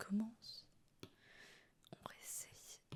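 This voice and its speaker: A woman talks in a soft-spoken, somewhat breathy way. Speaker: webtoon artist. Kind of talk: soft-spoken ASMR drawing tutorial.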